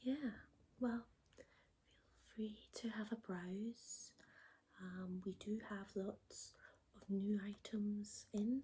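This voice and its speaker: Soft-spoken and gentle in tone, the speaker talks at a very slow pace with long, frequent pauses. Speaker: ASMR creator. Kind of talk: ASMR roleplay, personal shopper. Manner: soft-spoken, gentle.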